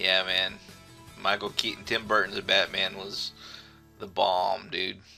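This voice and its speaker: Music playing behind a man's fairly slow delivery. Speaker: gaming talk show host. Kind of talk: casual talk show banter.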